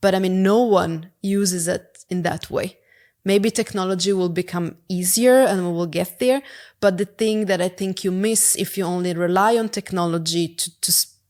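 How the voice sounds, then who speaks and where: Speaking at a moderate pace, a woman with an Italian accent keeps a medium pitch and fairly even intonation on a very clean recording with a silent background. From Italy. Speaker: product executive. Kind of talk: podcast interview. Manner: halting.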